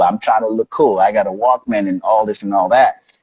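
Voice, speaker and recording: In a Haitian accent, a man speaks at a fairly quick pace, his voice dry and close with no echo. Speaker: life coach. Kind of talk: interview. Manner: casual, conversational.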